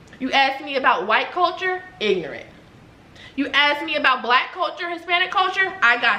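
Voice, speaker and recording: A woman speaks at a moderate pace in a high, raised, projected voice. Her tone is animated with lively intonation, and noticeable background noise is present. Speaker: YouTuber, mother. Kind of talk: heated debate. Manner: loud.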